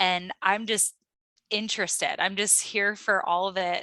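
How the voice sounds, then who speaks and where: This speaker has a Midwestern accent and a bright, sharp tone. The pace is fairly slow, and the recording is very clean with a silent background. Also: woman, dry, close sound with no echo. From US Midwest, Cleveland Ohio. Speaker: astrologer. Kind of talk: interview.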